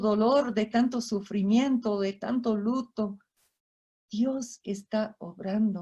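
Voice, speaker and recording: At a fairly slow pace, a woman speaks in a fairly high pitch, somewhat breathy, with a dark, mellow tone and fairly even intonation. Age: 60s. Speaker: missionary speaker. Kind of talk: sermon.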